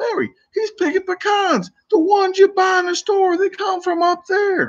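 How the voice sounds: In a put-on character voice with an extremely high pitch and a slight Irish accent, the speaker talks at a moderate pace. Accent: slightly Irish.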